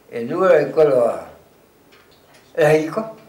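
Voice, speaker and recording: In a room with audible echo, a man with a fairly high pitch talks at a fairly slow pace, his voice making very wide pitch swings. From Provence, Vaucluse (Pernes-les-Fontaines area). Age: 80s+. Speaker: retired farmer. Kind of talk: oral history interview. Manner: halting.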